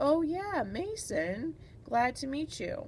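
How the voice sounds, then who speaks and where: A woman's high-pitched, put-on character voice at a very slow pace, with clear background noise. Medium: read story. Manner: bright, bubbly.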